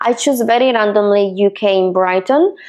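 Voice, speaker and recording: A fairly slow woman's voice in an Italian accent, medium pitch, ordinary pitch variation. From Italy, Milan. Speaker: real estate agent. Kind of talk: personal story vlog. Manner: hesitant, with fillers.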